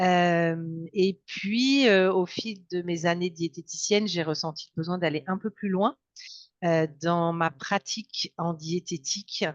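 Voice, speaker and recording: A woman's fairly low voice at a very slow pace, dry and close with no echo, over a quiet background. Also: ordinary pitch variation. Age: 60s. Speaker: dietitian and hypnotherapist. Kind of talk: interview. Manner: hesitant, many fillers.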